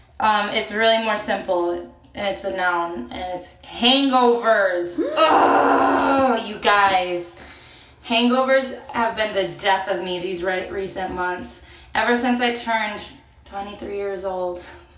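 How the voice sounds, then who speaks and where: In a room with audible echo and noticeable background noise, a woman speaks very slowly at a medium pitch, with ordinary pitch variation. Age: 20s. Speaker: podcast co-host. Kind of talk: casual chat. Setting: in a bathtub. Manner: animated.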